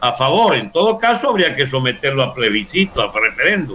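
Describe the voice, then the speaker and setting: A fairly high-pitched man's voice with very wide pitch swings at a moderate pace amid noticeable background noise. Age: 70s. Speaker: politician. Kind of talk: interview.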